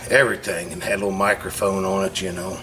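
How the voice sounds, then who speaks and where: Against noticeable background noise, a man speaks at a fairly quick pace with a fairly low pitch. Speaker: channel owner tinkering in a family workshop. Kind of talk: casual vlog monologue. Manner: loud.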